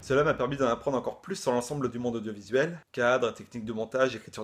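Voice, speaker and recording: Against a quiet background, a man talks at a very fast pace with a medium pitch. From Brittany, France. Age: 20s. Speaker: freelance video editor. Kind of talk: video job application.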